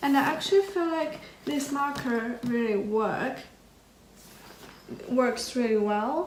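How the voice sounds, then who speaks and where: With a non-native accent, a woman speaks at a very slow pace and a high pitch with ordinary pitch variation, amid noticeable background noise and audible room echo. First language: not English. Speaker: art student YouTuber. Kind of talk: casual vlog, supplies haul. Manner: hesitant, with fillers.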